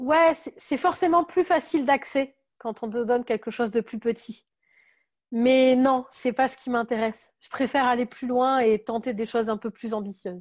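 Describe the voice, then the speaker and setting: Captured in a very clean recording with a silent background, a woman speaks in a high pitch with big swings in loudness. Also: ordinary pitch variation, moderate pace. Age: 30s. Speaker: graphic designer. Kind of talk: interview. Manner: hesitant, many fillers.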